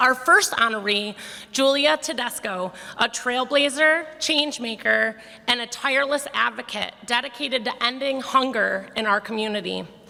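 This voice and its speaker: Over noticeable background noise, a woman with a high pitch and ordinary pitch variation talks at a moderate pace. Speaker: foundation board chair. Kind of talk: prepared speech at awards breakfast. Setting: ballroom stage with audience.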